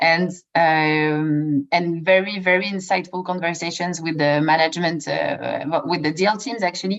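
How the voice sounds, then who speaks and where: A woman with a French accent speaks at a moderate pace in a fairly low voice with ordinary pitch variation. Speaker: ESG investment professional. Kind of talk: webinar presentation. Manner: halting.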